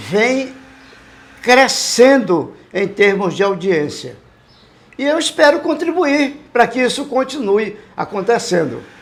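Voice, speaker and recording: Over noticeable background noise, a man talks at a very slow pace. His pitch is extremely high and swings very widely. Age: 70s. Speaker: veteran radio police reporter. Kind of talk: interview.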